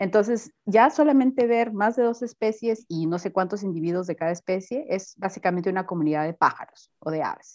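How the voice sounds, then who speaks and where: This woman has an unremarkable speaking voice at a medium pitch, with lively intonation. She talks at a fairly quick pace with hardly any pauses. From Peru, Piura (northern coast). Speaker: university researcher in botany. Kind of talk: interview.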